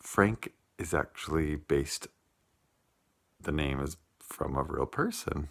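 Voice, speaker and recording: Very slowly, a man talks with vocal fry in a very deep, low pitch with ordinary pitch variation. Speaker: vlogger. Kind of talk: casual vlog. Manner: hesitant, many ums.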